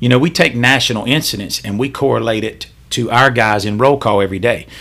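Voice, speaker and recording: A man with a Southern US accent speaks at a fairly quick pace in a medium pitch. His tone is bright and sharp, and his pitch variation is ordinary. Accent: US South. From Charlotte, North Carolina. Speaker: police officer. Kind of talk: casual chat.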